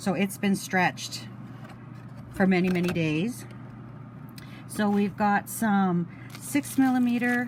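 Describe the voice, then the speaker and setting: Over noticeable background noise, a woman at a medium pitch speaks at a very slow pace with long, frequent pauses, lively intonation and very even loudness. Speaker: beading hobbyist vlogger. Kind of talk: crafting tutorial. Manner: casual, hesitant.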